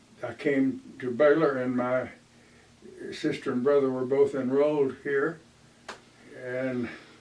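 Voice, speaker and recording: A man's flat, monotone delivery at a fairly slow pace, with noticeable background noise. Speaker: retired history professor. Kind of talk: oral history interview answer.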